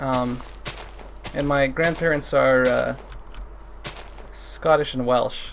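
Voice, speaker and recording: With a Canadian accent, a man speaks at a very slow pace with long, frequent pauses, amid noticeable background noise and audible room echo. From Canada. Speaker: gaming streamer. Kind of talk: casual chat while livestreaming a game. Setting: livestream. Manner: halting, many fillers.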